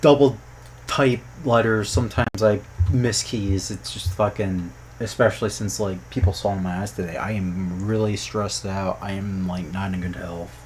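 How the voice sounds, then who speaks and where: A man with a fairly low, somewhat breathy voice speaks at a fairly slow pace. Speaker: youtuber and programmer commenting on game localization. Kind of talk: casual commentary vlog.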